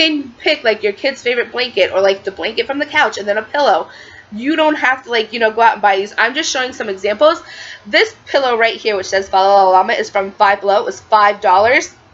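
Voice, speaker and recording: Over noticeable background noise, a woman with an American accent speaks at a fairly high pitch with very wide pitch swings. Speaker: lifestyle vlogger. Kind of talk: tutorial. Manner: fast; casual, filler-heavy.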